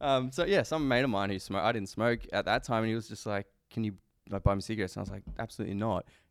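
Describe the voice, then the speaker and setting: Captured in a very clean recording with a silent background, a speaker with an Australian accent talks at a very fast pace, using ordinary pitch variation. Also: man, medium pitch for a man. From Queanbeyan, NSW, Australia. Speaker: podcast co-host. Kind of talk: casual chat. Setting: studio.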